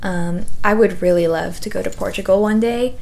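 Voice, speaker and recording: Noticeable background noise behind a woman's medium-pitched voice. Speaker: knitting podcaster and pattern designer. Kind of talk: casual chat. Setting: home video recording.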